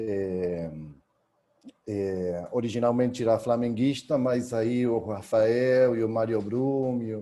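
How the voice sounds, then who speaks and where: With an Argentine accent, a man speaks very slowly at medium pitch with fairly even intonation. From Argentina, Buenos Aires. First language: Spanish (speaking Portuguese). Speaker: historian, university researcher. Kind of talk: academic talk. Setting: video call.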